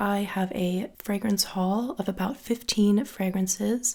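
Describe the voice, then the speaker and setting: Soft-spoken and somewhat breathy, a woman talks at a medium pitch. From Australia. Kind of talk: soft-spoken fragrance haul review talk to camera. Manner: soft-spoken, relaxing.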